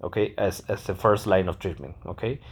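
A man speaks with a non-native accent in a fairly low voice. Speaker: podcast host, medical exam candidate. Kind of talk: lecture. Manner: halting, many fillers and repetitions.

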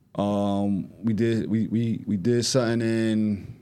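In a room with audible echo, a man with an American accent speaks in a dark, mellow, fairly low voice with fairly even intonation. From New Jersey, Grafton Ave projects. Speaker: music event promoter and platform co-founder. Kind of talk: casual chat.

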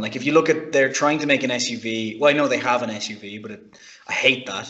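With lively intonation, a man talks at a fairly quick pace. His is an unremarkable speaking voice. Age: 30s. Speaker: car podcast panelist. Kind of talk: casual chat.

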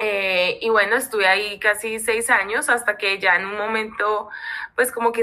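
This voice has a bright, sharp tone and flat, monotone intonation, moving at a moderate pace. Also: woman. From Colombia. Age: 30s. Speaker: people and culture lead. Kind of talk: casual interview.

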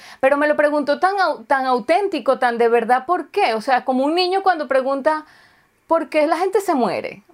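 A woman's high, animated voice with lively intonation, very even loudness and a moderate pace. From Venezuela. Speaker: video chat host, self-employed. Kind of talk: casual chat.

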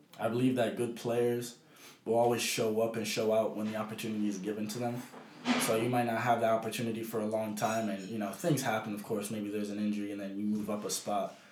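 The delivery is very fast and monotone, with flat intonation and audible room echo. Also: man, medium pitch for a man. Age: young. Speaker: youth professional footballer. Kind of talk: casual chat. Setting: at home.

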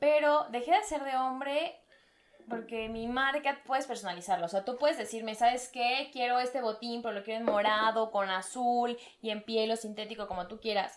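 This woman has an ordinary speaking voice, pitched fairly high, with ordinary pitch variation. She talks at a moderate pace. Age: 20s. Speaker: industrial designer and footwear entrepreneur. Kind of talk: casual chat.

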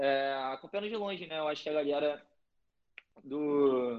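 Here a man speaks with a fairly high pitch. His pace is moderate and his pitch variation ordinary. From Brazil, Rio de Janeiro. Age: 20s. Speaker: college soccer player. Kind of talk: casual interview.

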